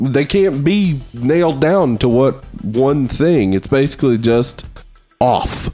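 Music plays in the background. A man with a medium-pitched voice speaks very slowly. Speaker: podcast host. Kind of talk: casual podcast conversation.

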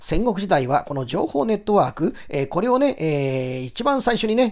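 His high voice swings very widely in pitch as noticeable background noise carries on. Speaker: English teacher. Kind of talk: lecture.

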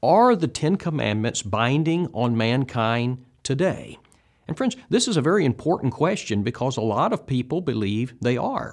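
A man at a moderate pace against a quiet background. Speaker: bible teacher. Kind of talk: lecture. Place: studio. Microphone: lapel.

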